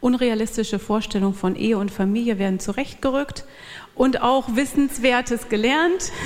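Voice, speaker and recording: Here a woman speaks at a fairly high pitch with ordinary pitch variation. Noticeable background noise is present. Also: moderate pace. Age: 40s. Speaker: church speaker, pastor's wife. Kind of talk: church talk.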